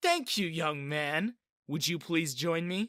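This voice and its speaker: A man speaks at a fairly slow pace in a put-on character voice, high-pitched and raspy, with a dry, close sound and no echo. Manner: frighteningly sweet.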